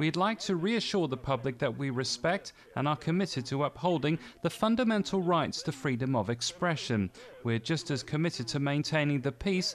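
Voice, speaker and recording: A man with a plain, everyday voice talks at a moderate pace, his fairly high pitch carrying lively intonation. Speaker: TV news reporter. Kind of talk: TV news report narration.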